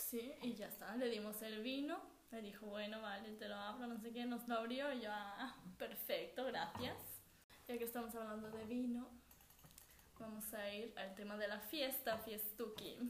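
In a room with audible echo, a woman with a fairly high, somewhat breathy voice speaks fairly slowly with fairly even intonation. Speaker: podcast co-host. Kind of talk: casual chat. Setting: at home.

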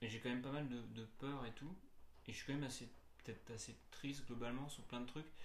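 Fairly quick, fairly even delivery with audible room echo. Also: man, medium pitch for a man. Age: 30s. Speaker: musician. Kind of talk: casual interview. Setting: recorded in Nantes. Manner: halting, many repetitions.

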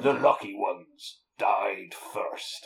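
Raspy and extremely high-pitched, the voice is a put-on character voice.

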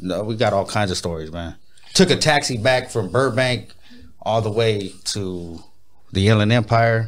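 Fairly low in pitch, a man speaks with an American accent at a moderate pace and with ordinary pitch variation. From Pomona, Southern California. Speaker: rapper and music producer. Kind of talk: casual interview chat.

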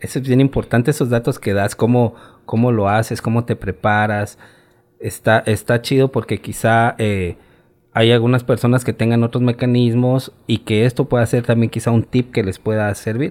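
A man's medium-pitched voice with a Mexican accent, monotone, flat intonation and a moderate pace. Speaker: podcast host. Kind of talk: interview.

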